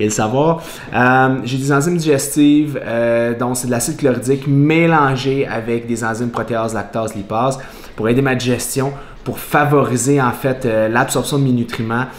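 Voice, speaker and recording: A man talks at a moderate pace with fairly even intonation. Audible room echo and light background noise are present. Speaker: fitness vlogger. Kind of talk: casual vlog chat. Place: kitchen. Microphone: camera far.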